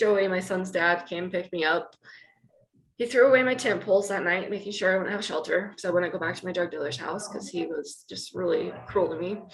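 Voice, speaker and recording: In an American accent, a woman with an ordinary speaking voice talks at a medium pitch with ordinary pitch variation. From Utah (Wayne County, rural). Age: 30s. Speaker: person in addiction recovery. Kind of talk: interview testimony. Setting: office in treatment center, video podcast. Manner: emotional, candid.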